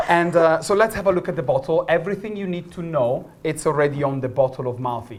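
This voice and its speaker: With a slight Italian accent, a man talks very fast at a fairly high pitch with ordinary pitch variation and hardly any pauses, over noticeable background noise. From northern Italy. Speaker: gin brand ambassador. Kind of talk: product masterclass. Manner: animated.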